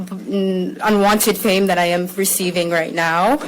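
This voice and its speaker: Over noticeable background noise, a woman speaks with an American accent. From US Midwest (Minnesota and Columbus, Ohio), Somali family. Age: 20s. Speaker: activist speaking about ICE detention. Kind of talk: testimony. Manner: halting, many fillers.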